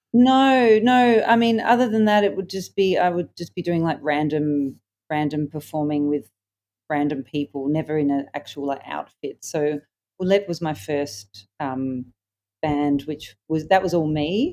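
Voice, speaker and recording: Talking at a fairly slow pace, a woman uses a very deep, low pitch and a dark, mellow tone, with very wide pitch swings. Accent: Australian. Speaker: singer-songwriter. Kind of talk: interview. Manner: hesitant, many fillers.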